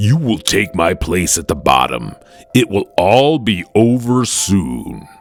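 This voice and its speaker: A man's put-on character voice, fairly slow, with very wide pitch swings. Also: fairly low pitch for a man. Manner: thunderous.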